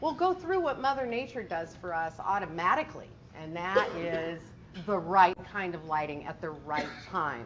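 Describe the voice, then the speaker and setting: The speaker has an American accent and lively intonation at a moderate pace. Noticeable background noise runs underneath. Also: woman, fairly low pitch for a woman. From US Pacific Northwest. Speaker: guest speaker, lighting industry salesperson. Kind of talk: luncheon presentation. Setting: luncheon room with audience.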